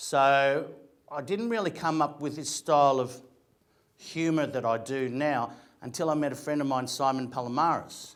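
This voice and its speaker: At a moderate pace and a fairly high pitch, a man speaks with an Australian accent and ordinary pitch variation. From Australia, Greek migrant family. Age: 50s. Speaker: actor and comedian. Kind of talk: motivational talk.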